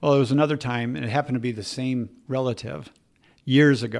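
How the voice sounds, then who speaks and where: Here is a man with a plain, everyday voice. He talks at a fairly quick pace in a medium pitch. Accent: American. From Minnesota, Twin Cities. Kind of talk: interview.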